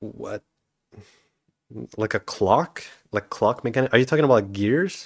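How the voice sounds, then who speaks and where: A man at a medium pitch speaks with long, frequent pauses, the sound dry and close with no echo. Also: lively intonation. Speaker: indie game developer streamer. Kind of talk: livestream chat. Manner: fast; loud. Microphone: not very good microphone.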